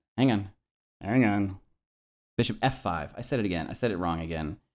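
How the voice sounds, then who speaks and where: With pitch that varies in an ordinary way, a man speaks while the background remains quiet. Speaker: chess teacher. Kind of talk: tutorial. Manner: halting, many fillers.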